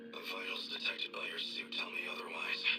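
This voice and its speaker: A man's put-on character voice at a fairly quick pace, over loud background noise. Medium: game stream. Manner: measured, formal.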